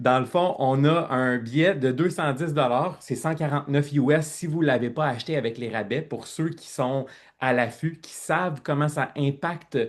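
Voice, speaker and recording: At a fairly slow pace, a man speaks with a Quebec accent and ordinary pitch variation against a quiet background. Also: fairly high pitch for a man. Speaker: network marketing team leader. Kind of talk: online presentation. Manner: loud; animated.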